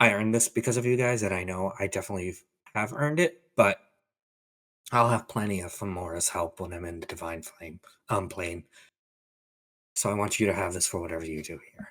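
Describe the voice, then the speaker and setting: A raspy put-on character voice from a man, fairly low in pitch, fairly quick in pace, broken by long, frequent pauses. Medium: actual play. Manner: casual, halting.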